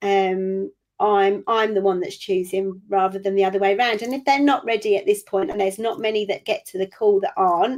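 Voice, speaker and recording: Using a normal speaking voice, a woman talks at medium pitch with fairly even intonation. Her pace is fairly quick, with hardly any pauses. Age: 50s. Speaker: business owner and coach. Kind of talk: interview.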